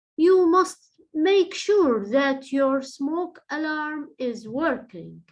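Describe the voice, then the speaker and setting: A woman puts on a character voice, high-pitched and lively in intonation. She delivers it at a fairly slow pace. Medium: read story. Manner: bossy.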